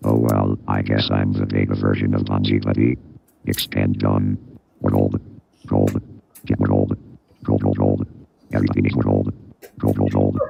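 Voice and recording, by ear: A man's put-on robotic character voice, very deep and low, in a monotone, flat intonation at a moderate pace with long, frequent pauses.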